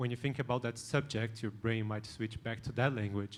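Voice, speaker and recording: A man with a non-native accent speaks in a monotone with flat intonation. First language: not English. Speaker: conference panelist. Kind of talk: panel discussion.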